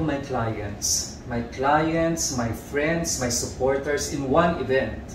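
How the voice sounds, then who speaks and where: A man talks at a fairly high pitch with ordinary pitch variation. Noticeable background noise and audible room echo are present. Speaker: fashion designer. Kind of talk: interview answer. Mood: warm, reflective. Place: home room.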